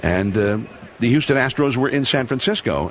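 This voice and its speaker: A man talks at a moderate pace in an American accent. He has an ordinary speaking voice. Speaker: sports broadcaster. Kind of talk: interview answer, recounting memories.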